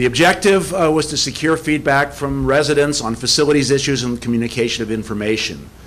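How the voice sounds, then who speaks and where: A man with a fairly high pitch talks at a very fast pace with hardly any pauses and ordinary pitch variation, over noticeable background noise. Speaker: survey researcher presenting results. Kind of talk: presentation at public meeting.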